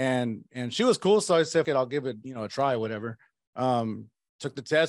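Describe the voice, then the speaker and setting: Against a quiet background, a man talks at a very fast pace. His pitch is medium, with ordinary variation. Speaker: life insurance agent. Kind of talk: casual interview chat.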